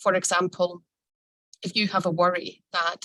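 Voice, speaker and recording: In a Scottish accent, a woman speaks at a medium pitch with a bright, sharp tone and monotone, flat intonation, recorded with a dry, close sound and no echo. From Scotland. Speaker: lawyer. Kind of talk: lecture. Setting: video call.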